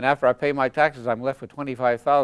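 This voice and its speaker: At a very fast pace, a man with a Montreal accent speaks at a medium pitch, with a dry, close sound and no echo. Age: 70s. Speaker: retired politician and lawyer. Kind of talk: interview. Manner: halting.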